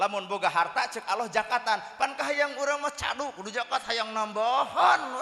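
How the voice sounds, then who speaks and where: Over noticeable background noise, a man projects a raised voice at an extremely high pitch, keeping a moderate pace with ordinary pitch variation and hardly any pauses. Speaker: Islamic preacher. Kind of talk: humorous sermon.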